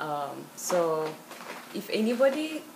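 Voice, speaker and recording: A woman with a Turkish accent, in audible room echo with noticeable background noise. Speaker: interviewee. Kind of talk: interview.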